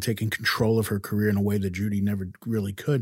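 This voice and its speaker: A somewhat breathy man is heard on a very clean recording with a silent background. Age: 50s. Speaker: podcast host. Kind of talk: interview; scripted narration.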